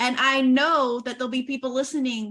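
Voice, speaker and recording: A woman's raised, projected voice at a high pitch, with an American accent. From Oklahoma. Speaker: podcast host. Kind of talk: interview conversation.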